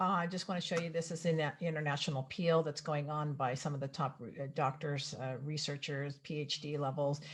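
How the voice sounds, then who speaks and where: A woman's very deep, low, somewhat breathy voice at a fairly quick pace, with fairly even intonation and hardly any pauses. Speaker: health educator. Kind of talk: presentation. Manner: fast.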